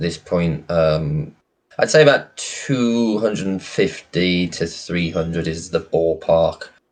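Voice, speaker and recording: A man is speaking. The background is quiet. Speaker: game analyst and playtester. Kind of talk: casual interview chat. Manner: monotone.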